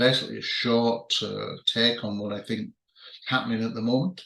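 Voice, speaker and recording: In a British accent, a man speaks at a medium pitch with a bright, sharp tone. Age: 60s. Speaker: magazine editor and UFO researcher. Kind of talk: video monologue to readers. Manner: halting, many fillers.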